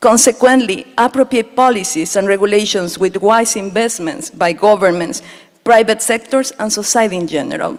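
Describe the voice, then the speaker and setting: Speaking in a Spanish accent, a woman uses a fairly high pitch and ordinary pitch variation at a moderate pace. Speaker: speaker at a water summit. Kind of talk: prepared conference speech.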